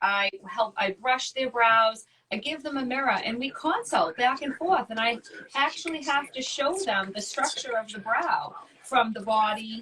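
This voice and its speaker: High-pitched woman's voice in a Boston accent, moderately paced, with lively intonation. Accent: thick Boston. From Boston, Massachusetts. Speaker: wax educator and esthetician. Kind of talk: casual interview chat.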